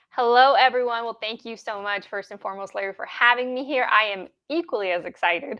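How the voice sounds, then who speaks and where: A woman's fairly high voice at a very fast pace, with ordinary pitch variation and big swings in loudness. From Mexico, Jalisco. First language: Spanish. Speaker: holistic health practitioner. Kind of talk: interview.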